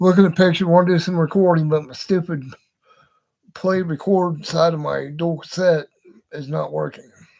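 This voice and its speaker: A man with a high pitch speaks with fairly even intonation but big swings in loudness. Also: moderate pace. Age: 60s. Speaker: vlogger, model hobbyist. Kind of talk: casual monologue. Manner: rambling, halting with fillers.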